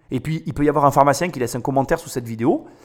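The voice is animated in tone, with ordinary pitch variation and a very fast pace. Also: man. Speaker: business podcaster. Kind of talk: commentary monologue.

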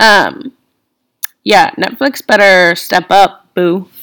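The tone is bright and sharp, with ordinary pitch variation at a very slow pace. The recording is very clean, with a silent background. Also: woman. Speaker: podcast host, college student. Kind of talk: casual solo monologue. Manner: chatty, filler-heavy with laughs.

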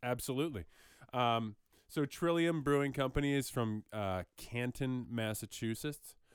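Over a very clean recording with a silent background, a man uses an ordinary speaking voice at a fairly slow pace, with a medium pitch and ordinary pitch variation. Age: 30s. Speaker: podcast co-host. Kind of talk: casual chat.

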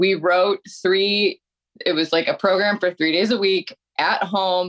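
Her voice is an unremarkable speaking voice at medium pitch, and she is a woman. She speaks at a fairly slow pace, with a dry, close sound and no echo. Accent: American. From Detroit, Michigan. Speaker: metal singer and personal trainer. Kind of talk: casual chat.

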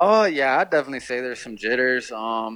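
A plain, everyday voice from a man, medium in pitch and fairly quick in pace. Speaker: college football quarterback. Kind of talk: interview.

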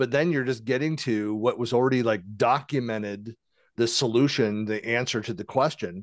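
At a moderate pace, a man with a medium pitch and an unremarkable speaking voice talks over a quiet background, his pitch varying in an ordinary way. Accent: American. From western US. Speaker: podcast host. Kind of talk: casual interview.

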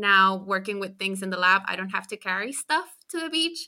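A woman with a Spanish accent and a bright, sharp tone on a very clean recording with a silent background. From Chile. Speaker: postdoctoral ecologist. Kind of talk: interview.

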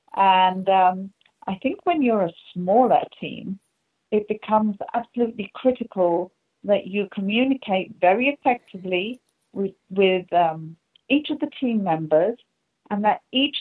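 With an English accent, a woman speaks at a medium pitch. Her pitch varies in an ordinary way. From England. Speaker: strategy consultant. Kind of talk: interview.

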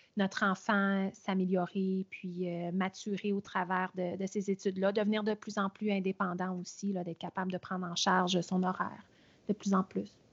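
A woman at medium pitch, moderate pace, little pitch movement

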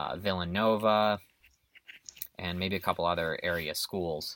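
A man's bright, sharp tone at fairly low pitch, fairly even in intonation and fairly slow in pace, with a dry, close sound and no echo. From US Midwest, Illinois. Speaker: university cycling coach. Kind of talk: interview. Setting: recorded interview. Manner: hesitant, many fillers.

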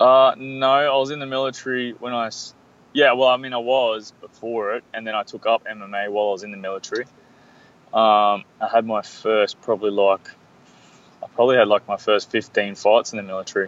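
With an Australian accent, a man speaks at a medium pitch and moderate pace, with fairly even intonation and a dry, close sound with no echo. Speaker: mixed martial arts fighter. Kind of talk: interview.

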